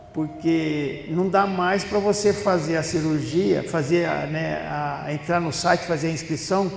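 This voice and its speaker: A man speaks at a fairly slow pace with a fairly high pitch and fairly even intonation. Noticeable background noise and audible room echo surround the voice. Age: 70s. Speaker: spiritist lecturer. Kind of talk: talk at a spiritist center. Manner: conversational storytelling.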